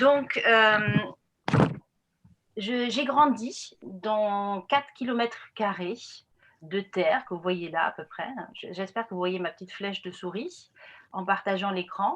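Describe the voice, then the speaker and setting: A woman talks at a very slow pace with long, frequent pauses. Her medium-pitched voice has lively intonation and big swings in loudness. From northern Germany, Friesland. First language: Frisian/German (speaking French). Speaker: anthropologist. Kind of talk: lecture. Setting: video call. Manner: hesitant, many fillers.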